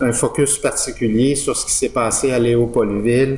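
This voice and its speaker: Against noticeable background noise and audible room echo, a man speaks at a fairly slow pace and medium pitch with a monotone, flat intonation. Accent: Quebec. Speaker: professor. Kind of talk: lecture. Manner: halting, many fillers.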